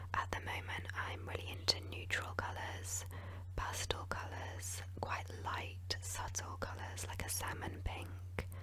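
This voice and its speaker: Whispering and soft-spoken, a woman with a British accent is heard over noticeable background noise. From England. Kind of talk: ASMR Q&A while gaming. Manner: whispered, soft-spoken.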